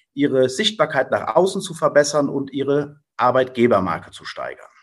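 Speaking at a fairly slow pace, a man sounds somewhat breathy. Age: 40s. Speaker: business owner. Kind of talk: interview self-introduction.

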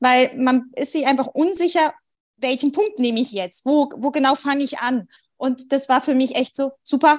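Fairly even intonation in a woman's high voice. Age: 30s. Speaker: mother, sleep coaching client. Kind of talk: casual interview chat.

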